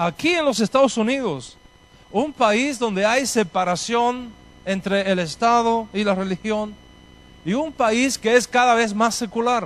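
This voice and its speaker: A man speaks with a Spanish accent at a fairly slow pace. His pitch is high, with ordinary variation. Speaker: rabbi. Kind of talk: lecture.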